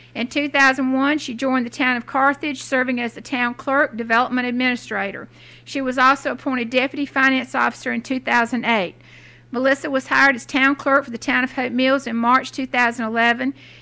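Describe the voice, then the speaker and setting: A woman's raised, projected voice, bright and sharp in tone, at a moderate pace with monotone, flat intonation. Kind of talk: formal reading of a biography. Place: hall.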